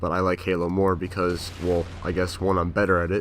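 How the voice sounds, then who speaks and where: A man's very deep, low pitch in a monotone, flat delivery. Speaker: gaming commentator. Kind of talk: gameplay commentary. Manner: many fillers.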